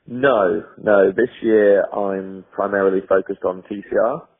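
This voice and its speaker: This is a man speaking. He has a North West England accent. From Cheshire, England. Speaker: racing driver. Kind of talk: interview answer.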